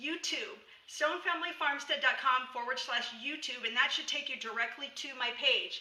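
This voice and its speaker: Projecting her raised, high voice into a room with audible echo, a woman speaks with ordinary pitch variation. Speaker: homesteading and herbal medicine teacher. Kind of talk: live stream tutorial. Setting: live video stream. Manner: casual, filler-heavy.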